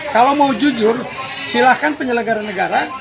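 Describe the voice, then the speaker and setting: Over crowd noise and audible room echo, a man speaks very fast at an extremely high pitch with ordinary pitch variation. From Indonesia, Banten (Pandeglang). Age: 60s. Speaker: NGO forum leader. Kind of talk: press interview.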